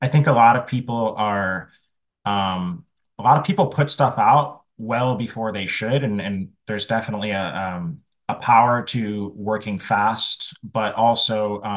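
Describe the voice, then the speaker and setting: An unremarkable speaking voice moves at a fairly slow pace with ordinary pitch variation against a quiet background. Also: man, medium pitch for a man. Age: 30s. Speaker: music marketing agency founder. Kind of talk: interview.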